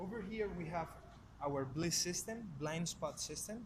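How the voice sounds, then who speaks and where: A man with a Spanish accent speaks at a fairly quick pace. His pitch is fairly high, and audible room echo surrounds him. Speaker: car salesperson. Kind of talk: product review. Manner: casual, conversational.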